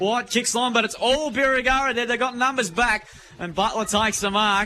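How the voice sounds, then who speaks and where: A raised, projected voice from a man with an Australian accent. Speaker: football commentator. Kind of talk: live commentary. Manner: fast.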